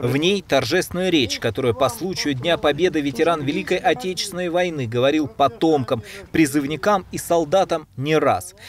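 In an unremarkable speaking voice, a man talks at a moderate pace with a fairly high pitch and lively intonation. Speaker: TV journalist. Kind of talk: TV news report.

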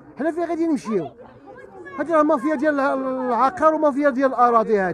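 Crowd noise fills the background as a man speaks at a fairly quick pace with an extremely high pitch. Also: dry sound with no echo. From Morocco. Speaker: resident interviewed in street report; interviewee. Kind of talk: street interview complaint. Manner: animated. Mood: angry, pleading. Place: street. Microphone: handheld.

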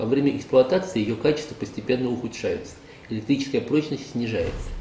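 Delivered at a very fast pace, the speech carries audible room echo and light background noise. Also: man. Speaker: presenter. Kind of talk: scripted product review. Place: workshop.

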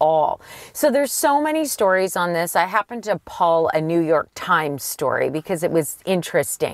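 A woman's fairly low voice at a moderate pace, an ordinary speaking voice, in a dry sound with no echo. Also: quiet background. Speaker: car show co-host. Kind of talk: casual explanatory chat. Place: car. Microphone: camera far.

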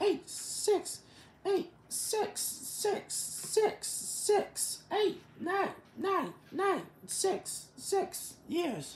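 A woman speaks at a very slow pace with an extremely high pitch, very even loudness and ordinary pitch variation. Light background noise and audible room echo fill the recording. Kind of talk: improvised character skit, scolding. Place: home room. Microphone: phone near.

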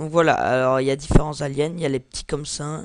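A man speaks in a monotone, flat intonation. His pitch sits fairly high. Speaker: gaming YouTuber. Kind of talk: gameplay commentary. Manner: halting.

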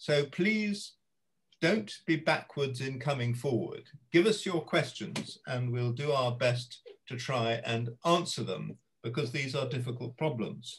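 Somewhat breathy, a man talks at a fairly slow pace with lively intonation and a medium pitch. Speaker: retired judge and arbitrator chairing webinar; retired judge. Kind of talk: moderating panel discussion. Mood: dry humour, calm. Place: home room. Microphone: video call.

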